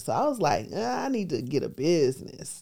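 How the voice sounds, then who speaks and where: The woman's tone is dark and mellow. She talks at a fairly quick pace. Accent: American. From US Midwest, Milwaukee, Wisconsin. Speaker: real estate investor and tax lien teacher. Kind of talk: interview.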